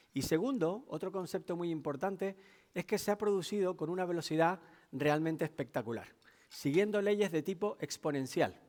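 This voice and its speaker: A man with a Canarian accent talks at a moderate pace in a high pitch with ordinary pitch variation, on a very clean recording with a silent background. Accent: Canarian Spanish, noticeable. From Canary Islands, Tenerife. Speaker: technology executive, keynote speaker. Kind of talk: business keynote talk. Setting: stage with audience.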